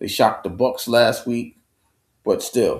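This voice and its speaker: A man speaks with a New York accent. The recording is very clean, with a silent background. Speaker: sports talk show host. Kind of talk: solo live stream sports commentary. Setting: home studio live stream. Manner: halting with many repetitions.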